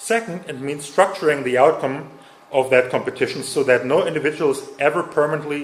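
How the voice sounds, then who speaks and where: With a German accent, a man speaks at a moderate pace in a fairly high pitch. Room echo is audible, and there is noticeable background noise. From Germany. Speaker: conference speaker. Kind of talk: lecture. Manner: halting.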